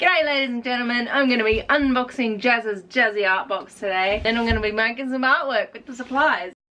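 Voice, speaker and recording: This woman has a high pitch and an Australian accent, talking at a fairly quick pace. Her pitch varies in an ordinary way while her loudness swings widely. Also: hardly any pauses. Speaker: artist and YouTuber. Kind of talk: casual unboxing vlog. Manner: animated.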